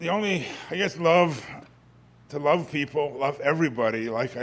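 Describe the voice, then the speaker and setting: The man's pitch moves with ordinary variation. He talks at a moderate pace. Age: 60s. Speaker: congregation member sharing at open mic. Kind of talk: personal testimony. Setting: church service with audience. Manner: halting.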